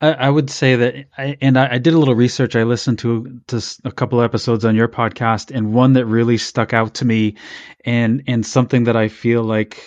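A man with an ordinary speaking voice, medium pitch, fairly even intonation and a fairly quick pace, against a quiet background. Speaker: podcast host. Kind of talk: casual chat.

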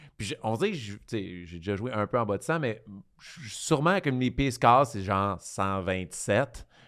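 On a very clean recording with a silent background, a man at medium pitch speaks at a fairly slow pace with lively intonation and big swings in loudness. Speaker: podcast host and comedian. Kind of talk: casual chat. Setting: studio.

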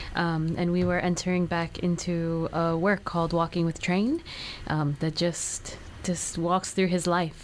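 In an American accent, a woman speaks fairly slowly at a fairly low pitch, her intonation monotone and flat and her loudness very even. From New Haven, Connecticut. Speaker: dancer. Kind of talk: casual interview. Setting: studio.

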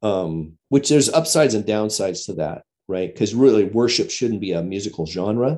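A man with a fairly low pitch and a dark, mellow tone speaks at a moderate pace with hardly any pauses. His intonation is lively, and the background is quiet. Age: 50s. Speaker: pastor and former worship leader. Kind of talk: casual chat.

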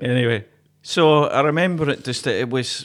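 A man talks in a Glaswegian accent. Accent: Glaswegian Scottish. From Glasgow. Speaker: folk musician and podcast co-host. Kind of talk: casual chat. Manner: jokey, laughs often.

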